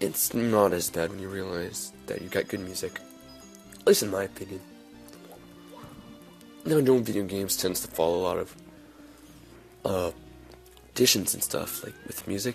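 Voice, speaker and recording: Over music in the background, a man with a fairly low pitch and ordinary pitch variation talks at a moderate pace, leaving long, frequent pauses. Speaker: video game let's player. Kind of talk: let's play commentary. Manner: casual, rambling.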